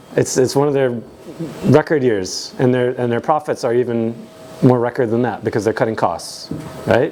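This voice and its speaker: Over noticeable background noise, a man with an American accent talks at a medium pitch with ordinary pitch variation. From United States. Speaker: tech conference speaker. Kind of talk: conference talk. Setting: stage with audience. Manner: animated; fast.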